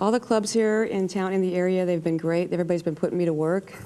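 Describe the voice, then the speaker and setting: Speaking very fast in an American accent, a woman with a fairly low, dark, mellow voice keeps her intonation fairly even. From Arizona. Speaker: singer-songwriter. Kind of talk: casual interview.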